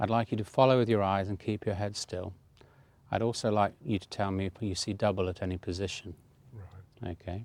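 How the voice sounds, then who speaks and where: A man with a normal speaking voice talks fairly quickly at a fairly low pitch with fairly even intonation. The recording is very clean with a silent background and a dry, close sound with no echo. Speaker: doctor demonstrating an eye exam. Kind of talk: medical exam narration. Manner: calm, methodical, narrating while working.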